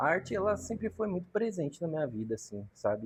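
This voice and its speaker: A man speaks at a fairly quick pace, his voice somewhat breathy. The sound is dry and close, with no echo. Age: 30s. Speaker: graffiti artist and tattooist. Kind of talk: podcast interview. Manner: casual slangy.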